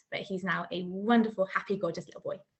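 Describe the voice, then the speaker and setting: A woman with a West Country accent and fairly even intonation. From South Gloucestershire, England. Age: 20s. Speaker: new mum, maths teacher. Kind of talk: interview.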